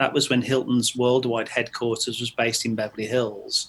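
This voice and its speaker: With an English accent, a man speaks at medium pitch and a fairly quick pace. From England, Stratford-upon-Avon. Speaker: training company owner, accountant. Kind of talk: podcast interview. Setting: podcast.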